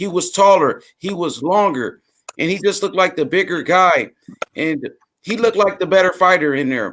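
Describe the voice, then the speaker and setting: A man speaks with a Memphis accent at a fairly slow pace. His pitch is high, with ordinary variation. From US South, Memphis, Tennessee. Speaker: boxing fan commentator. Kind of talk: casual chat. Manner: halting.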